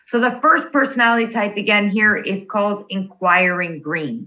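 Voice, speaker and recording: Animated in tone, a woman speaks at a medium pitch with lively intonation. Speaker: workshop facilitator. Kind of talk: workshop presentation.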